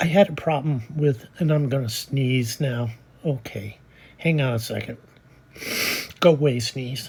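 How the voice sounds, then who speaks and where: A woman talks with a very deep, low pitch and ordinary pitch variation. She leaves long, frequent pauses over noticeable background noise. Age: 70s. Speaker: personal vlogger sharing life story. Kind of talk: personal testimony monologue. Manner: casual, hesitant with fillers.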